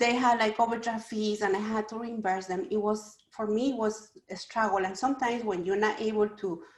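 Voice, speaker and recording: A woman with a Spanish accent talks at a fairly quick pace with hardly any pauses. Her fairly high pitch keeps a fairly even intonation. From Ecuador. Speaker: small business owner. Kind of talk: panel talk.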